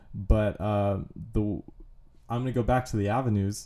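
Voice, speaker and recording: A man's medium-pitched, dark, mellow voice with monotone, flat intonation at a moderate pace. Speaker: comedian. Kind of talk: casual chat. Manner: even, level delivery.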